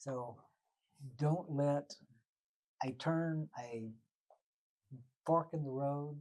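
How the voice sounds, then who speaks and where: At a very slow pace with long, frequent pauses, a man with a Texan accent speaks in a fairly high pitch and fairly even intonation. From Texas, Waco. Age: 80s+. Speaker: retired journalist. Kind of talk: interview. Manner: halting.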